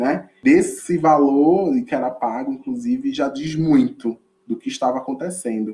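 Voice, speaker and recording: In a northeastern Brazilian accent, a man with a fairly high pitch and a dark, mellow tone speaks at a fairly slow pace, his pitch swinging very widely. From Olinda, Pernambuco, northeast Brazil. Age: 20s. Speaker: educator. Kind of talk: podcast interview.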